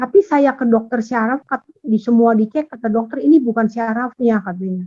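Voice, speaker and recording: A woman talks at a moderate pace with a fairly high, somewhat breathy voice. The sound is dry and close, with no echo. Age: 60s. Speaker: class participant. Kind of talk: question from participant. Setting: video call.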